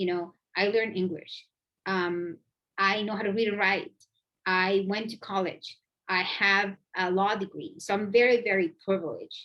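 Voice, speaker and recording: Delivered at a moderate pace in a bright, sharp tone, the speech has a Spanish accent and long, frequent pauses. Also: woman, medium pitch for a woman, fairly even intonation. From Mexico, Oaxaca. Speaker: immigration lawyer. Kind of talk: panel Q&A answer.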